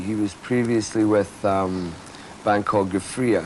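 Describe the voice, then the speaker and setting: Fairly low male speech against clearly audible background noise. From Britain (Scotland). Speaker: rock bassist. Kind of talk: interview. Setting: studio.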